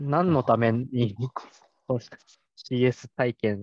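Recorded dry and close with no echo, a man of medium pitch speaks at a very slow pace with ordinary pitch variation. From Japan, Nagoya (Aichi). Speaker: customer support specialist. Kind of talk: casual interview.

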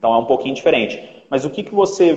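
A man's lively intonation at a very fast pace. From Minas Gerais, Brazil. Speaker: orthopedics resident and live stream host. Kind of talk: interview on a live stream.

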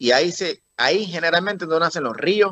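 This man's pitch is fairly high. He keeps a moderate pace. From Puerto Rico, rural. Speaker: political candidate. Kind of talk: interview. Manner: halting, repetitive.

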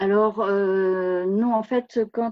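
Very slow speech from a woman, medium in pitch. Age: 60s. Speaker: retired author. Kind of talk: interview. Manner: halting, many hesitations.

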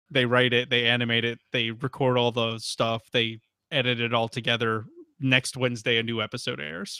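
A man speaks in a normal speaking voice, his medium pitch held to fairly even intonation. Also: moderate pace. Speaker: podcast co-host. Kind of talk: casual chat.

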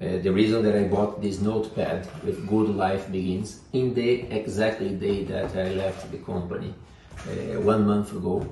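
A man with a Portuguese accent speaks at a fairly low pitch. The room echo is audible. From Brazil. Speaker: leadership coach. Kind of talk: vlog monologue.

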